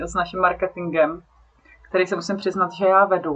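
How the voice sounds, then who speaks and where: Here is a woman with an ordinary speaking voice at medium pitch. She talks at a fairly quick pace with fairly even intonation. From South Bohemia, Czechia. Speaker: nonprofit director. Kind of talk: interview.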